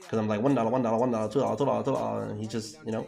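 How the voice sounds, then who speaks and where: Over music in the background, a man with a fairly low pitch talks in an animated tone with ordinary pitch variation, and room echo is audible. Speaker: forex trading livestreamer. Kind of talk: live stream chat with viewers while trading. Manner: fast; animated, casual slangy.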